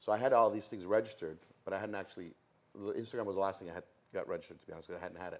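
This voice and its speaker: Very fast and animated, a man with a Toronto accent talks at a fairly low pitch with ordinary pitch variation. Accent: Canadian English (Toronto). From Toronto, Canada, Italian-Calabrian family. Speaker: MC and comedian. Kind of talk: interview.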